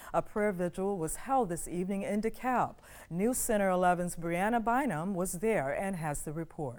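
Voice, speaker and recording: Speaking at a moderate pace and medium pitch, a woman with an unremarkable speaking voice shows ordinary pitch variation in a very clean recording with a silent background. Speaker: news anchor. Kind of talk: TV news anchor read.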